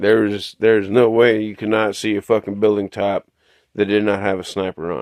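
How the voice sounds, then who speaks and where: Here a man is speaking. He has a West Texas accent. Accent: West Texas Southern US. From West Texas, Midland. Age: 40s. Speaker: vlogger. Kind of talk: casual monologue.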